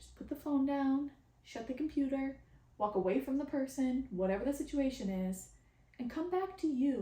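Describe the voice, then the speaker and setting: A woman speaks in a high pitch with big swings in loudness. Noticeable background noise runs underneath. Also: lively intonation, moderate pace. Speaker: spiritual channeler and podcast host. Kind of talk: casual podcast monologue. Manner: halting, many repetitions.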